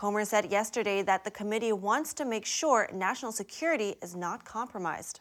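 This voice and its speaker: A woman with a normal speaking voice at fairly high pitch and ordinary pitch variation, at a moderate pace, in a very clean recording with a silent background. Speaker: news anchor. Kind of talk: news reading. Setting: studio.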